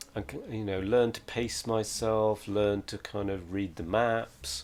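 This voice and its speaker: Music plays in the background as a man with a fairly low pitch speaks at a fairly slow pace. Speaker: live streamer. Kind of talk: casual chat. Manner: hesitant, many fillers and restarts.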